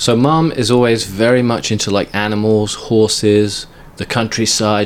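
Over noticeable background noise, a man speaks with fairly even intonation in a fairly low voice. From England. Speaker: long-distance runner and fitness vlogger. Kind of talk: casual interview.

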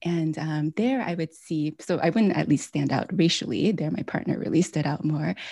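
A woman with an American accent speaks at a moderate pace with hardly any pauses, her very deep, low voice dark and mellow with vocal fry and ordinary pitch variation, over a quiet background. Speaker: author and former hospital chaplain. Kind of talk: interview.

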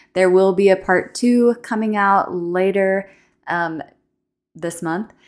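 A woman speaks with a plain, everyday voice and fairly even intonation, at a fairly slow pace. The recording is very clean, with a silent background. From Texas. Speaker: podcast host. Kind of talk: casual interview chat.

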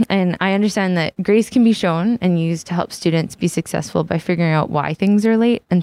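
Speaking with a Western Canadian accent, a woman talks at a fairly quick pace with hardly any pauses and very even loudness. Her fairly low voice has a dark, mellow tone and ordinary pitch variation, recorded with a dry, close sound with no echo. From New Westminster, British Columbia. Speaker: student teacher. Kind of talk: prepared reflection.

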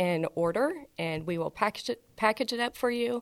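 On a very clean recording with a silent background and a dry, close sound with no echo, a woman with an American accent and a plain, everyday voice speaks at a moderate pace with ordinary pitch variation. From Houston, Texas. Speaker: school spirit store director. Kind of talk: casual chat.

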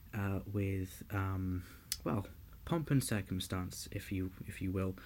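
Speaking with a London accent, a man uses a somewhat breathy, fairly low voice at a fairly slow pace, in a very clean recording with a silent background. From London, England. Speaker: podcast host and student pilot. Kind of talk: scripted presenting.

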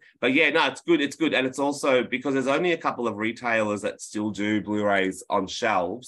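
Against a quiet background, a man with an Australian accent speaks at a fairly quick pace. His medium-pitched voice has lively intonation. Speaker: film historian and disc producer. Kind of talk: casual interview chat. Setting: video call. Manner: animated.

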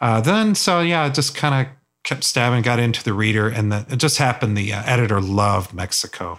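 A man with an ordinary speaking voice talks at a fairly quick pace, medium in pitch, with lively intonation. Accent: American. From US South. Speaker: photojournalist. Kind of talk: casual chat. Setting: studio.

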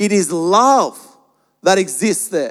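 A man with an Australian accent talks in a high voice. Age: 30s. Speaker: pastor. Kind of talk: sermon. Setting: church.

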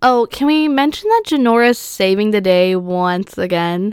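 A woman with an unremarkable speaking voice at a medium pitch speaks with ordinary pitch variation, on a very clean recording with a silent background and a dry, close sound with no echo. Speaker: podcast host. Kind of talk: casual solo podcast commentary. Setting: alone in her room.

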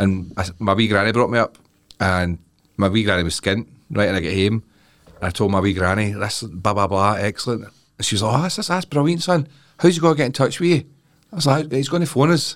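A man with a Scottish accent, fairly low-pitched and very fast, with very wide pitch swings, on a very clean recording with a silent background. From Scotland. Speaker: comedian. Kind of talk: casual chat.

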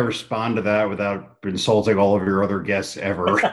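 A man speaks at a moderate pace with a fairly low pitch, in an ordinary speaking voice. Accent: American. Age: 40s. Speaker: comic book writer. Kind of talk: casual interview.

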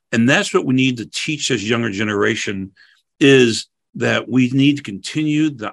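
With an American accent, a man talks at a moderate pace and medium pitch in an ordinary speaking voice, showing ordinary pitch variation. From St. Louis, Missouri, US Midwest. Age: 60s. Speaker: fire chief. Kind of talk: panel discussion.

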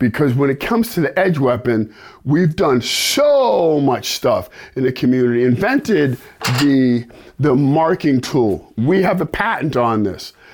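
An animated, fairly high-pitched man with an American accent, lively intonation and very even loudness. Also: fairly slow pace. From New York. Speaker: self-defense instructor. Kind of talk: instructional video.

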